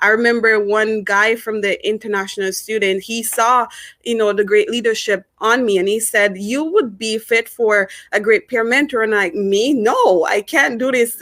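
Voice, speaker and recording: A woman with a Jamaican accent speaks at a moderate pace, her pitch fairly high and her intonation fairly even. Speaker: former student, peer mentor. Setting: lives in Canada as an immigrant. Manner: hesitant, many fillers and repetitions.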